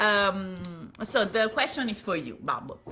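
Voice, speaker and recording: Speaking at a very slow pace, a woman has a bright, sharp tone with vocal fry. She talks in an Italian accent. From Italy. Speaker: violin maker. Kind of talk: live stream Q&A with interpreting.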